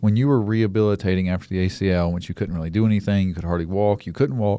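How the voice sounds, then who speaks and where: A man with a fairly low, dark, mellow voice talks at a very fast pace with ordinary pitch variation. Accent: Alabama. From US South, Mobile, Alabama. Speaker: podcast host. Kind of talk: casual interview chat. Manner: halting.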